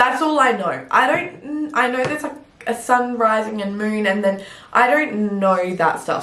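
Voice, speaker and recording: A woman with an Australian accent talks at a moderate pace in a fairly high pitch, with very wide pitch swings and an animated tone. Noticeable background noise and audible room echo fill the recording. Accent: fully Australian. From Adelaide, Australia. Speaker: fitness coach and bodybuilder. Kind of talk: casual chat.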